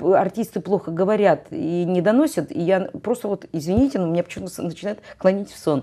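The background stays quiet. A woman talks with lively intonation. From Russian North. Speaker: choir director and music professor; music professor. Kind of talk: interview. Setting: TV studio. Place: studio.

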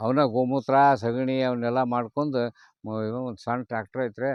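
A man speaks in a plain, everyday voice at a medium pitch. His intonation stays fairly even. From North Karnataka, Haveri district. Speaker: retired police officer turned farmer. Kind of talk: casual interview.

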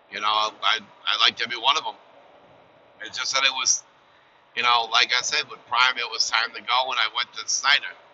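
With light background noise behind him, a man talks at a fairly quick pace in a monotone, flat intonation, broken by long, frequent pauses. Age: 50s. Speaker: truck driver vlogger. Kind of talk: casual vlog monologue. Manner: halting, many fillers. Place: car.

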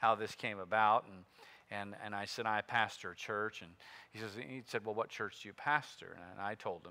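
A man with a fairly low pitch and a bright, sharp tone speaks at a moderate pace. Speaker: pastor. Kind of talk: sermon. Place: church.

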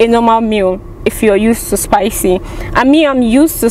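A woman at a moderate pace with ordinary pitch variation, a dry sound with no echo and light background noise. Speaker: food reviewer vlogger. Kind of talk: casual vlog chat. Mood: amused, chatty. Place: car. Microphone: phone near.

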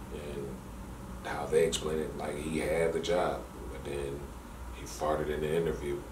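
Noticeable background noise is present. A man talks at a moderate pace with a very deep, low pitch. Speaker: caller. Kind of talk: casual phone conversation storytelling. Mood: amused, exaggerated storytelling. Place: office.

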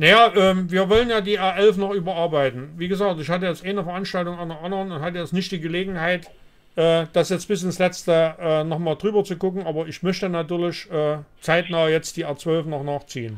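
Speaking at a fairly quick pace, a man uses a high voice with fairly even intonation. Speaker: livestream host answering viewer questions. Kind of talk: live call-in Q&A. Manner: hesitant with many fillers. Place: home room. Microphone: studio mic.

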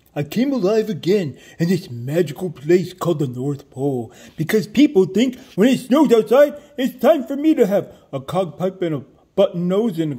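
A man uses a put-on character voice, pitched high and sing-song. He keeps a moderate pace. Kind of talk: comic overacting. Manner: jolly, sing-song.

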